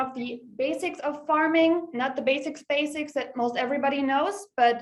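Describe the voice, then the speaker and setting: A woman with a slight German accent, fairly even intonation and a moderate pace. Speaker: real estate agent. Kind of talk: webinar presentation.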